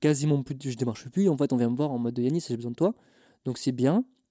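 Recorded very cleanly against a silent background, a man's medium-pitched voice has a dark, mellow tone, fairly even intonation, and a dry, close sound with no echo. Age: 20s. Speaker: photographer and videographer. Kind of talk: casual interview chat. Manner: halting, many fillers.

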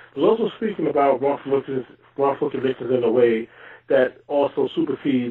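With an American accent and an unremarkable speaking voice, a man talks at a fairly quick pace, his medium pitch showing ordinary variation. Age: 40s. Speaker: exoneree. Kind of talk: interview.

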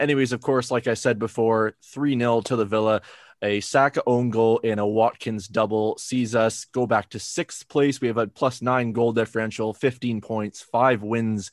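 A man's medium-pitched, monotone, flat delivery at a moderate pace with hardly any pauses, dry and close with no echo, over a quiet background. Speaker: podcast host. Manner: casual, conversational.

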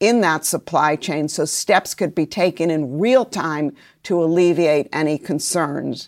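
Speaking in an unremarkable speaking voice, a woman talks at a fairly low pitch with fairly even intonation. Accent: American. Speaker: trade policy expert. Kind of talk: interview.

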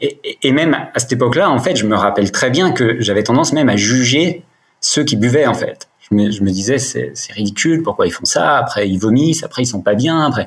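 Here a man talks at a fairly quick pace. His medium-pitched voice is somewhat breathy. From France, Dijon. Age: 40s. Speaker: sobriety coach, recovered alcoholic. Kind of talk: personal testimony in podcast interview. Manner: hesitant, many fillers and repetitions.

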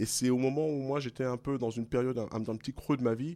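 In a very clean recording with a silent background, a man with an ordinary speaking voice talks at a fairly quick pace with ordinary pitch variation. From Paris region, France (Guadeloupean parents). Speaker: blues musician, singer. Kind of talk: interview.

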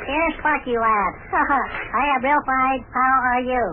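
Over clear background noise, a female-sounding voice does a put-on character voice, pitched high and delivered at a fairly slow pace. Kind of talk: folksy, letter-reading. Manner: put-on imitation voice, not the reader's natural voice.

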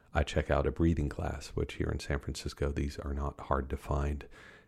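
Against a quiet background, a man speaks with a very deep, low pitch and vocal fry. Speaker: author and science journalist. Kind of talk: interview, storytelling.

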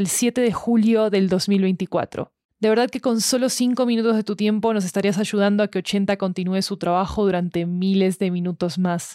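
A woman's dark, mellow voice with fairly even intonation comes through in a very clean recording with a silent background, dry and close with no echo. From Argentina. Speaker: podcast studio announcer. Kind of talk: scripted promo reading.

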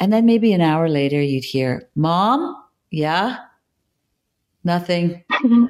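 A woman with a Canadian accent talks very slowly at a fairly low pitch, with very wide pitch swings and long, frequent pauses. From Canada (Toronto), Maltese immigrant family. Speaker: actor and filmmaker. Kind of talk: casual interview chat.

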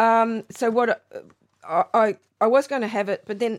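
A very clean recording, silent in the background, of a woman with an Australian accent. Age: 70s. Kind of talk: casual interview chat.

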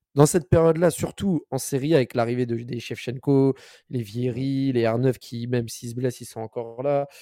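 In a very clean recording with a silent background and a dry, close sound free of echo, a man speaks at medium pitch and a moderate pace, with a dark, mellow tone and ordinary pitch variation. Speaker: football podcast co-host. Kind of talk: casual chat.

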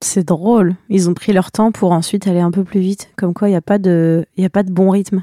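A woman's medium-pitched voice with a dark, mellow tone, flat monotone delivery and very even loudness, at a fairly quick pace, in a very clean, dry, close recording with no echo and a silent background. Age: 20s. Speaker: podcast host. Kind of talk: scripted narration.

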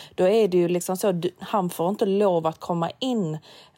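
This is a woman speaking. Her pitch is fairly low. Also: very clean recording, silent background. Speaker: podcast co-host. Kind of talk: casual chat.

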